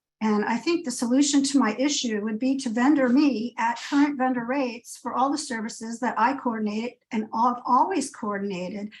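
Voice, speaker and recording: A woman speaks at a high pitch with ordinary pitch variation. There are hardly any pauses. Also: moderate pace. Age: 60s. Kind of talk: public comment testimony. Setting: video call. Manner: halting, many fillers.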